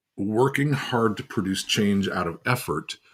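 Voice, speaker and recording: Recorded very cleanly against a silent background, a man with an unremarkable speaking voice talks at a moderate pace and a fairly low pitch. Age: 60s. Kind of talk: teaching talk on a livestream. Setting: livestream on social media.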